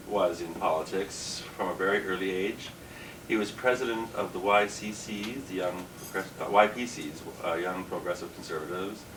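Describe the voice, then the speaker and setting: With a Canadian accent, a man speaks at a moderate pace in a fairly low pitch and fairly even intonation, amid audible room echo and noticeable background noise. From Canada, Ontario (Kingston). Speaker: drag queen comedian. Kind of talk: interview. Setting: dressing room.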